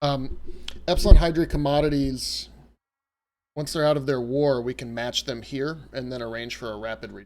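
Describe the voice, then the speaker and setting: Over a very clean recording with a silent background, a man with a slight Southern US accent, medium pitch and relaxed tone talks at a moderate pace with fairly even intonation and big swings in loudness. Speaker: video game streamer. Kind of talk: live gameplay stream chat. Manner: casual, relaxed.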